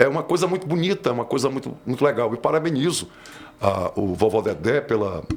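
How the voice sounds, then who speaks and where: With noticeable background noise behind him, a man of fairly high pitch speaks at a moderate pace, his pitch swinging very widely. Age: 60s. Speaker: audio engineer. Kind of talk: interview conversation.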